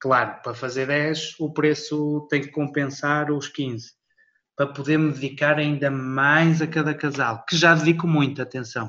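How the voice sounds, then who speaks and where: A man speaks in a bright, sharp tone at a fairly slow pace. His intonation is monotone and flat. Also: fairly high pitch for a man. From Portugal. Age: 30s. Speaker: wedding videographer. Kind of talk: interview.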